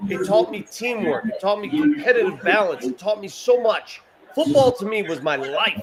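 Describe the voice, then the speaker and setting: A man talks at a moderate pace in a high pitch with an animated tone. Noticeable background noise sits behind him. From US, Italian-American family. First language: Italian. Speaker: sports show host. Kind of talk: casual chat. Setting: bar with live crowd.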